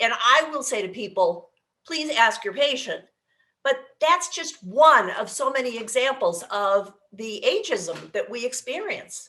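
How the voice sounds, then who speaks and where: A woman uses a raised, projected voice with a bright, sharp tone and a high pitch. Her loudness swings widely and her pitch swings very wide as she speaks at a fairly slow pace. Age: 60s. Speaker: aging life care manager. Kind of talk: casual chat.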